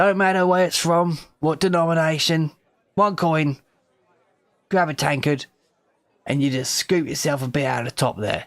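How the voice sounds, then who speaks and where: A gruff put-on character voice at a moderate pace, with ordinary pitch variation and long, frequent pauses. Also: man, fairly high pitch for a man. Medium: actual play. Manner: gruff, commanding.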